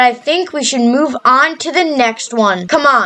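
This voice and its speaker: Through noticeable background noise, a woman with a high pitch and lively intonation speaks at a fairly slow pace. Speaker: Minecraft YouTuber. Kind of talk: gameplay build narration.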